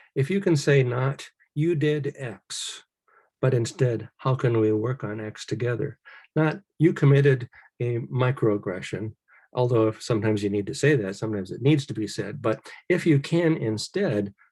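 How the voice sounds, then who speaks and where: A somewhat breathy voice with a dark, mellow tone and lively intonation, on a very clean recording with a silent background. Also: man. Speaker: study group leader. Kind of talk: presentation to discussion group.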